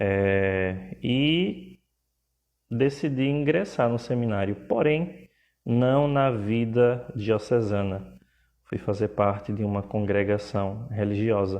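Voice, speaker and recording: At a very slow pace, a man speaks with a Pernambuco accent, his pitch fairly low and his intonation lively. The background is quiet. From Pernambuco, northeast Brazil. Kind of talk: live stream talk. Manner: hesitant, filler words.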